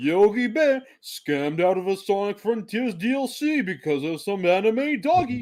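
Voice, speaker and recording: Speaking at a moderate pace, a man puts on a character voice pitched high. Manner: cartoon voice, complaining.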